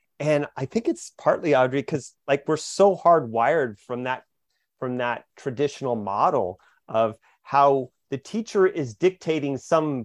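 In a normal speaking voice, a man talks at a moderate pace with fairly high pitch and lively intonation. The sound is dry and close with no echo, over a quiet background. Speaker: co-host and educator. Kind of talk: casual book-club conversation.

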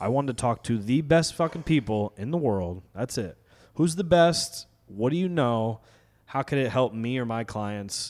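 An ordinary speaking voice with an American accent, lively intonation and a moderate pace. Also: man, medium pitch for a man. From New York, Westchester County; teen years in Connecticut. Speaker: fitness trainer and comedian. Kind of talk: casual chat.

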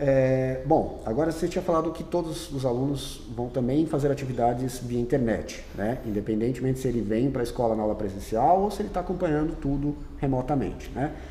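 A man at medium pitch, fairly quick with hardly any pauses, amid audible room echo and noticeable background noise. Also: ordinary pitch variation. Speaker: teacher and school podcast host. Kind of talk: casual interview.

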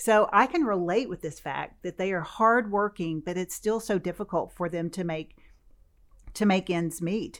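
Here is an unremarkable speaking voice from a woman at a medium pitch. She speaks at a moderate pace with ordinary pitch variation. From US South, western Kentucky. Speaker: food bank chief executive. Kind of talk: interview.

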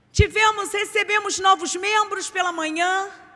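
A woman speaks in an extremely high pitch with a bright, sharp tone and a raised, projected voice. Her pace is fairly slow and her intonation monotone and flat. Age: 40s. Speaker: preacher. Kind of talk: sermon.

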